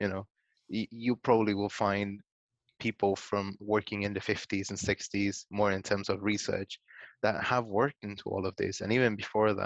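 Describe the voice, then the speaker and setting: Over a quiet background with dry, close sound and no echo, a man with a Spanish accent speaks at a moderate pace in a fairly low pitch with monotone, flat intonation. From Guatemala. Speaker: data science manager. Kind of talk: interview.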